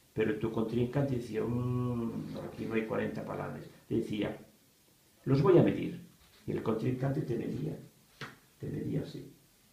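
In a space with strong room echo, a man speaks at a moderate pace with a fairly low pitch, a dark, mellow tone, vocal fry and ordinary pitch variation.

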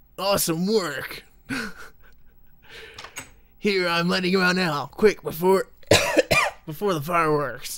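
Using a put-on character voice at a middle pitch, the speaker sounds guttural and strained, going at a very slow pace.

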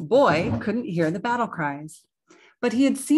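A quiet background behind someone reading aloud in a natural voice

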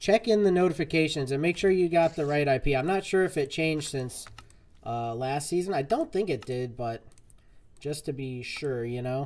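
This man has an unremarkable speaking voice, fairly high in pitch, with lively intonation and a moderate pace. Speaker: gaming streamer. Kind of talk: live gameplay stream chat. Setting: online voice chat. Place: home room.

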